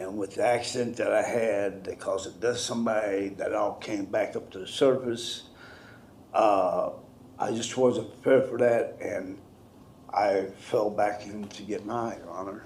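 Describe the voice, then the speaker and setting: Big swings in loudness from a man at a moderate pace, with audible room echo. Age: 60s. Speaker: defendant, military veteran. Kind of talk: courtroom plea for mercy. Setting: courtroom. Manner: halting.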